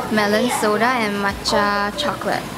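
A woman's voice amid loud background noise. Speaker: travel vlogger. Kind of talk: casual vlog chat. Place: cafe.

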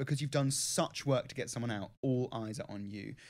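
With ordinary pitch variation, a man speaks at a fairly quick pace against a quiet background. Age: 30s. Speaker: podcast co-host, former reality TV contestant. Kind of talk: casual chat. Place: studio. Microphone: studio mic.

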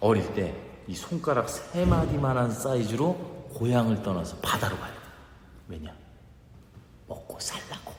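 Someone with a Chungcheong accent speaks at a moderate pace over noticeable background noise. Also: man. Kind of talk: comic dialect monologue, contest performance. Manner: chatty, humorous.

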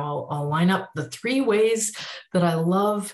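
A woman speaks with a fairly low pitch, somewhat breathy. There is audible room echo but a quiet background. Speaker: speaker. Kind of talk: self-introduction talk to camera. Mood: warm, enthusiastic. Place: home room. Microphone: webcam.

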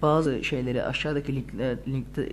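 The recording carries noticeable background noise. Room echo is audible too. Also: man. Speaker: gaming YouTuber. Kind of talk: tutorial.

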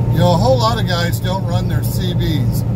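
Loud background noise fills the recording. A man talks over it at a moderate pace. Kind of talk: casual vlog chat. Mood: relaxed, chatty. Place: car. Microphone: phone near.

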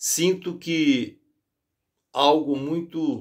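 Against a quiet background, a man speaks at fairly high pitch with fairly even intonation. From Brazil. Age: 60s. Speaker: video blogger. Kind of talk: spoken appeal and prayer. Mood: worried, earnest. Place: home room. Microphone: phone near.

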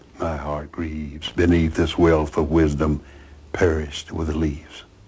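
A man's very deep, low, somewhat breathy voice with an American accent, monotone and flat, at a fairly slow pace. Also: long, frequent pauses. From US South, Alabama (Chambers County); Alabama. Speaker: author; interviewee. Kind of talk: interview; poetry reading.

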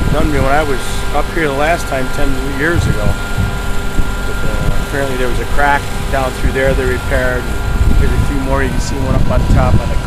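Moderate pace, loud background noise, and a dry sound with no echo. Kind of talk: casual commentary. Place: open country. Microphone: phone near.

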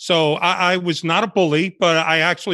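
In a New York accent, a man speaks with a high pitch and a bright, sharp tone, in a dry sound with no echo over a quiet background. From New York City, Bronx and Washington Heights, born in Cuba; New York City. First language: Spanish. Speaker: retired undercover FBI agent; guest. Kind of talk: interview storytelling. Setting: video call. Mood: relaxed storytelling. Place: home room. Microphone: video call.

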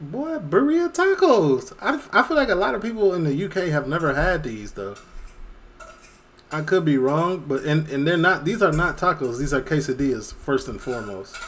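The intonation is lively. The pace is moderate. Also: man. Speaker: reaction streamer. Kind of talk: casual reaction commentary. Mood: playful, opinionated.

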